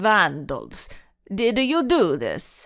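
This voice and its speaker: A put-on character voice, gruff and fairly high in pitch, plays up a strong Italian accent on a very clean recording with a silent background. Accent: thick Italian. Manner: rough, gruff, accusing.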